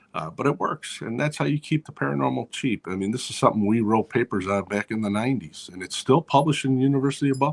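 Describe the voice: A man at medium pitch, fast pace, with vocal fry. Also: lively intonation, few pauses.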